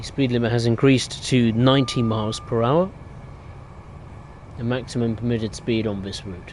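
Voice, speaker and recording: A man with a slight London accent speaks at a moderate pace in a medium pitch with fairly even intonation. He leaves long, frequent pauses, and there is noticeable background noise. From southern England, Reading. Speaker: gaming live streamer. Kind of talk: live gameplay commentary. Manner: casual, hesitant with many fillers.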